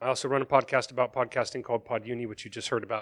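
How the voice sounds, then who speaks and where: Speaking with an American accent, the man has a bright, sharp tone. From Texas. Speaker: podcasting lecturer and panel moderator. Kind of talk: live panel moderation. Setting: stage with audience at a summit.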